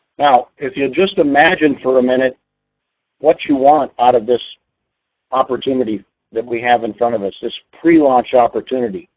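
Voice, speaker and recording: Medium pitch from a man, a normal speaking voice with ordinary pitch variation, delivered at a moderate pace. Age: 60s. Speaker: network marketing trainer. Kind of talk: webinar training presentation. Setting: online webinar call.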